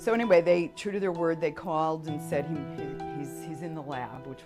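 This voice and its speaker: Music plays behind a woman whose voice sits very deep and low. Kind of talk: interview answer.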